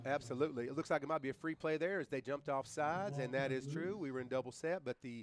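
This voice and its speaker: A man with a fairly high pitch rattles along at a very fast pace with ordinary pitch variation. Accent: Tennessee. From Tennessee. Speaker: sports play-by-play announcer and coach. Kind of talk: live commentary. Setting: stadium broadcast booth. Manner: animated.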